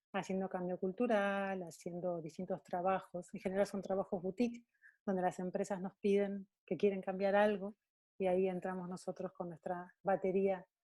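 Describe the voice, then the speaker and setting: A woman's medium-pitched, dark, mellow voice at a moderate pace, with monotone, flat intonation and a dry, close sound with no echo. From Argentina. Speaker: coach and coach trainer. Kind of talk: talk to an online community. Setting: video call.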